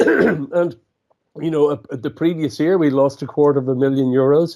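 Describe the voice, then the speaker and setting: Speaking in an Irish accent, a man with a dark, mellow tone and a fairly high pitch talks at a moderate pace with ordinary pitch variation. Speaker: entrepreneur and author. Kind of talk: interview. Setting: radio show. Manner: halting, frequent repetitions.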